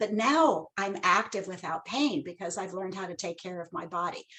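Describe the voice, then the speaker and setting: Lively intonation marks this woman's unremarkable speaking voice. Her pitch is medium and her pace moderate. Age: 60s. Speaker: Pilates instructor. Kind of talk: panel discussion on webinar. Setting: live virtual event.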